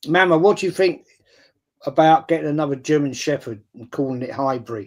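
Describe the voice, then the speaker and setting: Speaking fairly quickly with an English accent, a man uses a fairly high pitch and ordinary pitch variation. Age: 60s. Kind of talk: casual chat.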